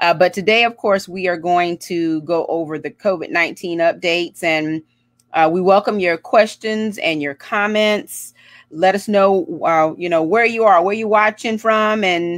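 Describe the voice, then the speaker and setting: Against a quiet background with a dry, echo-free sound, a woman talks at a fairly slow pace with ordinary pitch variation. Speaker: show host. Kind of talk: casual livestream host intro. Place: home room. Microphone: earbuds.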